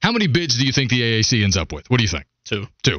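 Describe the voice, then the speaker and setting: With vocal fry and very wide pitch swings, a man speaks. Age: 30s. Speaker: sports radio host. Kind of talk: casual chat. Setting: studio.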